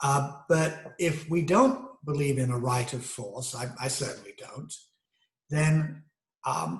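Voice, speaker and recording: Somewhat breathy, a man speaks at a very slow pace. His pitch shows ordinary variation. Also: fairly high pitch for a man. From Great Britain. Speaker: video essayist. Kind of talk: monologue lecture. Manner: halting, many fillers.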